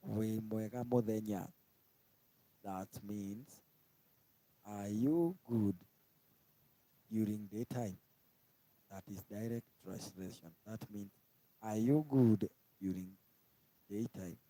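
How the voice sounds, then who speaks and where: Very slow, with long and frequent pauses, the dark, mellow voice shows ordinary pitch variation in a dry, close sound with no echo. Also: man, fairly low pitch for a man, big swings in loudness. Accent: Kenyan. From Kenya. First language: Kikuyu. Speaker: language teacher on live stream. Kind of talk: tutorial. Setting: live stream.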